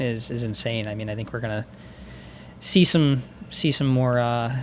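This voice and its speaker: A man with an American accent speaks at a moderate pace with fairly even intonation, and audible room echo surrounds him. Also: medium pitch for a man. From Downingtown, Chester County, Pennsylvania, US. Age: 20s. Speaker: real estate agent. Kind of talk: casual interview chat.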